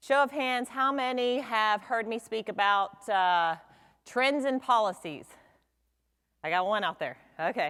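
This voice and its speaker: A woman speaks loudly and fairly slowly in a fairly high, bright, sharp tone with lively intonation. Long, frequent pauses break up her speech in this very clean recording with a silent background. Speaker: insurance attorney. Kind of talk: seminar presentation. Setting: stage with audience.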